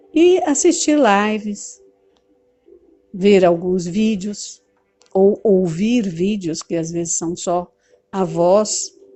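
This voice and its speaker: With music in the background, the speaker goes at a very slow pace, taking long, frequent pauses, with ordinary pitch variation. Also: woman, medium pitch for a woman. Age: 60s. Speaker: teacher and movement leader. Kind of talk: talk to camera on study method.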